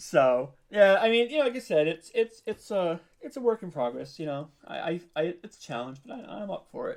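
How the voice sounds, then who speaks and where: A man's high-pitched, fairly quick delivery with very wide pitch swings and big jumps in loudness. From New York (Brooklyn). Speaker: audio drama podcast co-creator and voice actor. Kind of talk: interview. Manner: hesitant, many fillers and restarts.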